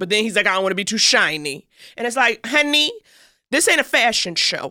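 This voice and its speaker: In a New York accent, a woman talks at a fairly quick pace with a fairly high pitch, very wide pitch swings and a bright, sharp tone, on a very clean recording with a silent background. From New York City (Harlem). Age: 30s. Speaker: comedian and podcast co-host. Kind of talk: casual chat. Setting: studio. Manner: animated.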